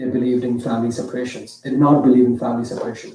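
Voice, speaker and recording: A man is speaking. He has an Indian accent. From India (Mumbai). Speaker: storyteller. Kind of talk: storytelling performance.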